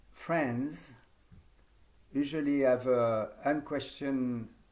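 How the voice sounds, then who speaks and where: A man with a French accent, with audible room echo. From France. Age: 70s. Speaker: yoga teacher trainer. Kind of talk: conference talk.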